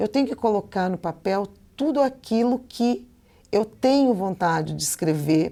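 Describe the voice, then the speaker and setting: At a fairly slow pace, the speaker uses lively intonation in a dark, mellow tone. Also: woman. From Curitiba, Brazil. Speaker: Portuguese teacher. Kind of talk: lecture. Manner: casual, conversational.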